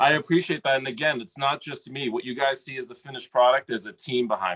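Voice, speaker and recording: A man speaks at a very fast pace with a medium pitch and ordinary pitch variation. His loudness swings widely. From US Northeast, Lynn, Massachusetts. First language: Greek. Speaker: rapper. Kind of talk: podcast interview.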